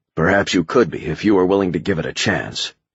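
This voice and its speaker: A man growls in a put-on character voice with a very deep, low pitch. He talks at a very fast pace. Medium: read story. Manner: calm, measured.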